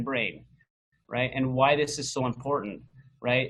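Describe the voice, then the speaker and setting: This man has a plain, everyday voice. His pitch sits fairly high. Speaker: health coach presenter. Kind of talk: webinar presentation.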